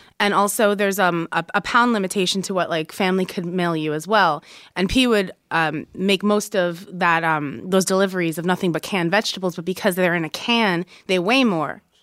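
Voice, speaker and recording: A woman talks at a fairly quick pace and medium pitch with ordinary variation, an ordinary speaking voice. The recording is very clean, with a silent background. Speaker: journalist. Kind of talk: interview.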